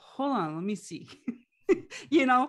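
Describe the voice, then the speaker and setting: A woman with a Quebec accent. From Quebec, Canada. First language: French. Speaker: life coach and businesswoman. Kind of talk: casual interview chat.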